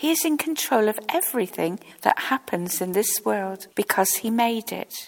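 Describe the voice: The recording is plain reading aloud.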